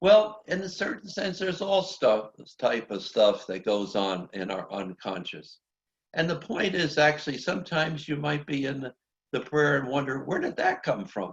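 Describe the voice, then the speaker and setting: A man's voice with vocal fry and very wide pitch swings, at a moderate pace. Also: fairly high pitch for a man. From US Northeast (New Jersey). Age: 80s+. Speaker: priest and meditation teacher. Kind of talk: workshop teaching. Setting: video call. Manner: conversational, with fillers.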